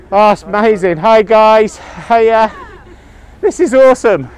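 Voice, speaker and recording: Very slow pace with ordinary pitch variation, over noticeable background noise. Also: man, long, frequent pauses, very even loudness. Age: 50s. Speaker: scout leader and podcast host. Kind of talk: travel diary and casual interviews. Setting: on board a sailing ship.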